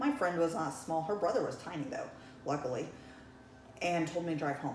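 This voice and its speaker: A woman with an American accent speaks at a fairly low pitch with lively intonation, amid audible room echo and noticeable background noise. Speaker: realtor and broker. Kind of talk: life-story interview. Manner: casual, with frequent um fillers.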